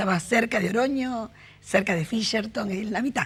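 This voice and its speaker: A somewhat breathy voice at a moderate pace. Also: woman. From Argentina, Rosario. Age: 60s. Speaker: interviewee sharing life story. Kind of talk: interview.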